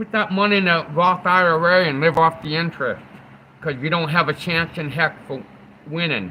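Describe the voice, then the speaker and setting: At a moderate pace, a man speaks in a high pitch. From New England. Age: 40s. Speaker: livestreamer. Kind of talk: casual live stream chat. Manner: animated.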